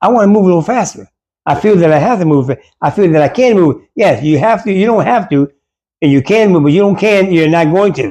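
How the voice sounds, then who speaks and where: A man speaks fairly quickly in a high pitch with a dark, mellow tone. His intonation is lively, and his loudness stays very even. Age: 80s+. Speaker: karate master and navy veteran. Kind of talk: casual interview. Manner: halting.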